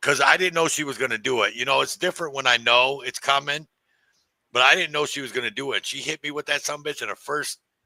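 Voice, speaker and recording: This voice has an American accent and an animated, bright, sharp tone. It moves at a very fast pace. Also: man, dry, close sound with no echo. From US, inner-city neighborhood. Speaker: podcast host. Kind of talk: casual chat. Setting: livestream.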